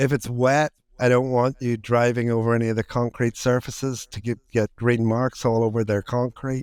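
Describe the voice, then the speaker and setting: A man speaks with an Irish accent at medium pitch and a moderate pace. The sound is dry and close with no echo, on a very clean recording with a silent background. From Ireland. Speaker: entrepreneur, author. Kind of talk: podcast interview answer.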